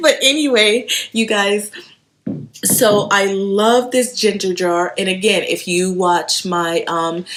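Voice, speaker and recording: A medium-pitched woman's voice with a slight Haitian accent. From Haiti, moved to US around age eight. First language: Haitian Creole or French. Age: 30s. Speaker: home decor vlogger. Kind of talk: casual show-and-tell haul video. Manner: chatty, with fillers and self-repeats.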